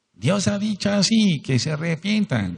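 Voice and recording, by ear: A man puts on a squeaky, shrill character voice pitched high. He keeps to a moderate pace.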